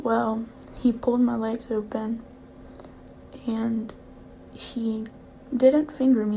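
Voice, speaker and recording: Against noticeable background noise, a woman speaks at a very slow pace with a fairly high pitch and monotone, flat intonation. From Louisiana. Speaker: podcaster. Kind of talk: personal testimony. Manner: halting.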